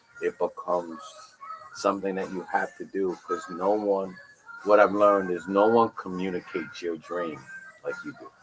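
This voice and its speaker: A man's voice at a moderate pace, with big swings in loudness and music in the background. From New York. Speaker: podcast host, mentor. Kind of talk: casual interview. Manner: conversational.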